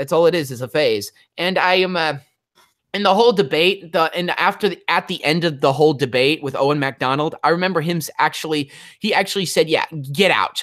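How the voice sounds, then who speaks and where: In a very clean recording with a silent background, the talking goes at a fairly quick pace. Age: 20s. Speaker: YouTuber. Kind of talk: casual chat. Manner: halting.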